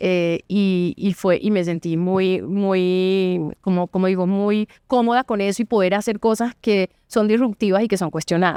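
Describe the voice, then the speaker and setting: With a Colombian coastal accent, a woman speaks in a medium pitch with a dark, mellow tone, a fairly slow pace, hardly any pauses, very even loudness and fairly even intonation, in a dry, close sound with no echo. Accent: Valledupar (costeño). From Colombian Caribbean coast, Valledupar. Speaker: lawyer and board member. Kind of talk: podcast interview.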